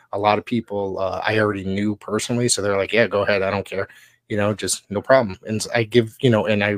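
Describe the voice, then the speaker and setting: On a very clean recording with a silent background and a dry, close sound with no echo, a man with a fairly low pitch talks at a very fast pace with fairly even intonation. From Connecticut, US. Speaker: wrestling podcast co-host and play-by-play announcer. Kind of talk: casual chat.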